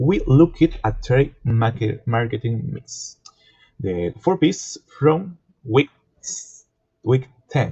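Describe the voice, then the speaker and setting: With a non-native accent, a man speaks at a very slow pace with long, frequent pauses, a somewhat breathy, medium-pitched voice and lively intonation. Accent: non-native, self-described poor pronunciation. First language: Spanish. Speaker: student. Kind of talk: class presentation. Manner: halting, self-correcting.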